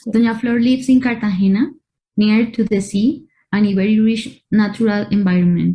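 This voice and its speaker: A woman with a non-native accent, medium pitch, a dark, mellow tone, a somewhat breathy quality and a fairly slow pace. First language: Spanish. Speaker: art curator. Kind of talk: online talk and Q&A.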